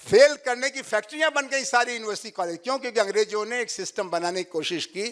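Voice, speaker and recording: The intonation is lively, in a Bihari accent. The recording is very clean with a silent background. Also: man. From Bhojpuri-speaking north India. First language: Bhojpuri (speaking Hindi). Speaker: professor. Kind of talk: lecture.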